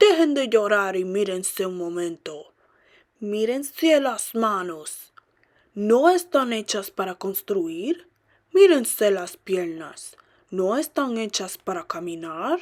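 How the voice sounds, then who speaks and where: Woman's put-on character voice, gruff and bellowing, medium-pitched, at a fairly slow pace. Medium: read story. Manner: gruff, roaring.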